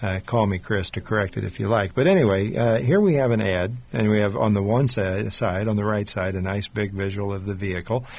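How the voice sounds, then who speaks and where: A man with an unremarkable speaking voice talks at a fairly quick pace and fairly low pitch, with fairly even intonation and hardly any pauses. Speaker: radio host. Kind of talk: radio interview.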